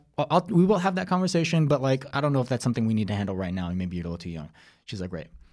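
A man speaks in a General American accent with very wide pitch swings. The recording is very clean, with a silent background. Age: 40s. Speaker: screenwriter and actor. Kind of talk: casual chat.

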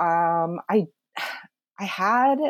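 With an American accent, this woman's voice comes across in a dry, close sound with no echo. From upstate New York. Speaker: Korean adoptee podcast guest. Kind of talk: casual interview, personal story.

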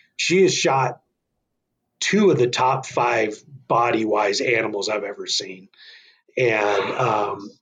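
Speaking in an American accent, a man has a somewhat breathy voice at a medium pitch. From northern Arizona. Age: 40s. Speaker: bowhunter and hunting association volunteer. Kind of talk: casual interview chat.

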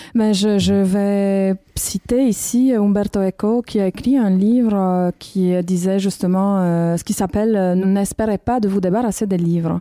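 Speaking at a fairly slow pace with a Romanian accent, a woman uses a medium pitch, a dark, mellow tone, fairly even intonation and very even loudness, in a dry, close sound with no echo on a very clean recording with a silent background. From Romania, Bucharest. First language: Romanian (speaking French). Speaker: documentary filmmaker. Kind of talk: casual chat. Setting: library room.

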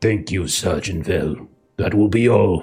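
Putting on a gruff character voice, a man speaks at a fairly slow pace with a very deep, low pitch while music plays in the background.

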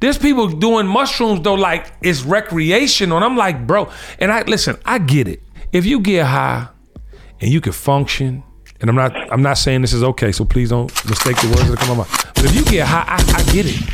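A man with a fairly high pitch talks at a fairly quick pace, his voice making very wide pitch swings. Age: 50s. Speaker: podcast host. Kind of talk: casual chat. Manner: animated.

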